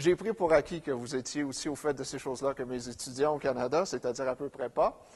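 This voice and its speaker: A man with a fairly high pitch talks at a fairly quick pace, with ordinary pitch variation and hardly any pauses. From Quebec. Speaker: professor, economic geographer. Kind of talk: conference lecture. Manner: hesitant, many fillers.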